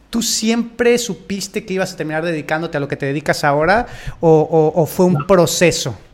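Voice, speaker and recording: A man with a Mexican accent, a high pitch and ordinary pitch variation. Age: 30s. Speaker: podcast host and fitness coach. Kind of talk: interview conversation. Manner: halting.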